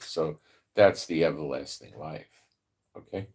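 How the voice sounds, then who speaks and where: A man speaks with a New York accent. His pace is fairly slow. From New York (the Bronx). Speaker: Bible prophecy commentator. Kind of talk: live stream Bible teaching. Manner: casual, filler-heavy.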